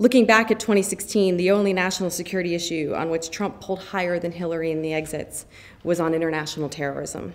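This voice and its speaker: An American-accented woman talks at a very fast pace with fairly even intonation. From US Northeast. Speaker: foreign policy expert. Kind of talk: lecture. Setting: stage with audience. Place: hall. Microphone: podium.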